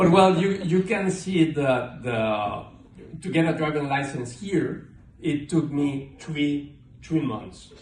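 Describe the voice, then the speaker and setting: A man with a Mexican accent speaks at a very slow pace and a fairly high pitch with ordinary pitch variation. There is audible room echo. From Mexico, Mexico City. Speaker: amateur stand-up comedian. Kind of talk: stand-up. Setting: stage with audience. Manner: halting, many fillers.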